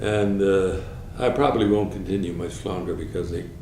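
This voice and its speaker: Through noticeable background noise and audible room echo, a man with a very deep, low pitch speaks at a moderate pace. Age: 80s+. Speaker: war veteran. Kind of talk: oral history interview. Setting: at home. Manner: halting.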